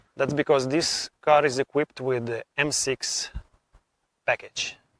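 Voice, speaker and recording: A man with a non-native accent talks at a fairly slow pace in a fairly high pitch. The recording sounds dry and close, with no echo. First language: not English. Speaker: car vlogger. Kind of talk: car review vlog. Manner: enthusiastic.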